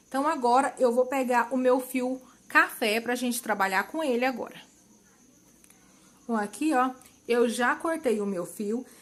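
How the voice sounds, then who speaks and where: At a fairly slow pace, a woman speaks with a high voice. Her intonation is lively. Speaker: crochet instructor. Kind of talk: tutorial.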